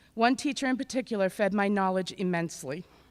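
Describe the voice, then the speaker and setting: Speaking at a very fast pace, a woman with a medium pitch and ordinary pitch variation is heard on a very clean recording with a silent background. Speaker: adult education graduate. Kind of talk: graduation speech. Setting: auditorium ceremony with audience. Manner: loud.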